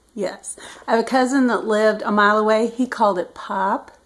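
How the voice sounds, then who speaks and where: The speech comes in a Midwestern US accent at a moderate pace. Intonation stays fairly even. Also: woman. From US Midwest. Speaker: retired government official. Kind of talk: casual talk to camera.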